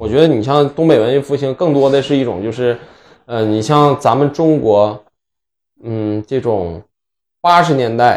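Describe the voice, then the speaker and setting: This man speaks at a medium pitch and a fairly slow pace, with ordinary pitch variation and long, frequent pauses. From Northeast China (Inner Mongolia part). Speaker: podcast co-host. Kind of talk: casual chat.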